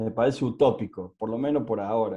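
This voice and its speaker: A man with an Argentine accent talks in a dark, mellow tone. His pitch shows ordinary variation. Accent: Argentine Spanish (Rioplatense). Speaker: adoptee rights advocate. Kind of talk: casual chat. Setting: video call. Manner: halting.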